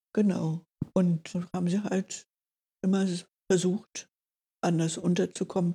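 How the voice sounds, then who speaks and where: The voice is somewhat breathy with a dark, mellow tone, speaking in a flat monotone at a very slow pace with long, frequent pauses. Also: woman, medium pitch for a woman. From Berlin. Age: 80s+. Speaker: Benedictine nun. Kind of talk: interview, life story.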